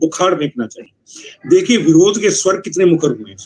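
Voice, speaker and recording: A man with a high pitch speaks in a lively intonation. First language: Punjabi (speaking Hindi). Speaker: literary critic and ghazal poet. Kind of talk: literary review at a writers' meeting. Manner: conversational.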